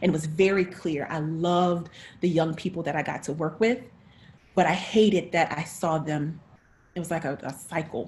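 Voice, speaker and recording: Speaking at a moderate pace with an American accent, a woman's fairly low, somewhat breathy voice keeps a fairly even intonation. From North Carolina. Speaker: actress, director and teaching artist. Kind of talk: interview.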